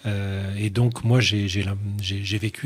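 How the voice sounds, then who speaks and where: With fairly even intonation, a man speaks in a fairly low, somewhat breathy voice. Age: 50s. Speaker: writer and doctor; guest. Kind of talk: radio interview. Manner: halting. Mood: thoughtful, measured. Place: studio. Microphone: studio mic.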